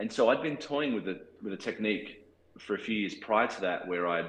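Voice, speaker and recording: With an Australian accent, a man speaks at a moderate pace and a fairly low pitch with lively intonation. Audible room echo is present. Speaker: cinematographer. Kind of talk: interview. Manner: halting.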